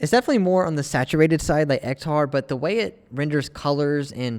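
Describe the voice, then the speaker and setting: In a normal speaking voice, a man moves at a fairly quick pace with ordinary pitch variation. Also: very clean recording, silent background. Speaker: film photography YouTuber. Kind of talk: casual vlog review. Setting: outdoors in cold weather.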